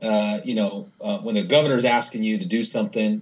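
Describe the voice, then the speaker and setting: Talking very fast, a man uses an American accent. His pitch is medium and his intonation lively. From US Pacific Northwest, Spokane, Washington. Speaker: nonprofit CEO. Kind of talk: casual interview.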